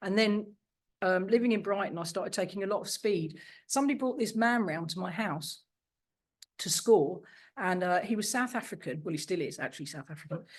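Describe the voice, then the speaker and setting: With an English accent and lively intonation, a woman talks at a fairly quick pace in a medium pitch over a quiet background. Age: 60s. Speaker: recovering addict. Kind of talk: testimony. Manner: fast.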